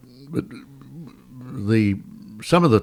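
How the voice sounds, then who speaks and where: The recording is very clean, the background silent. The voice belongs to a man with an Australian accent. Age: 90s. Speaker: war veteran. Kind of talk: interview answer.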